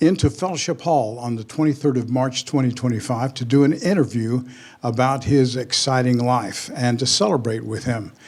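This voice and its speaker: A man's ordinary speaking voice, medium in pitch, at a moderate pace with ordinary pitch variation. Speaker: pastor. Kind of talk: interview questions.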